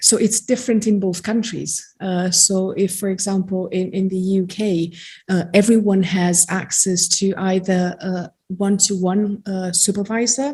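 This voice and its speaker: Against a silent background in a very clean recording, a woman speaks at a fairly slow pace with hardly any pauses, her medium-pitched voice somewhat breathy and dark and mellow in tone, her intonation fairly even. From Romania (Transylvania). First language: Romanian. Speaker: genetic counselor and psychologist. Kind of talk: seminar talk. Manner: hesitant, many fillers.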